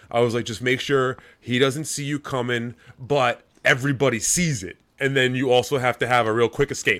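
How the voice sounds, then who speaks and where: The recording is very clean, with a silent background. A man with a plain, everyday voice speaks at a fairly quick pace, medium pitch and fairly even intonation. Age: 40s. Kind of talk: casual chat.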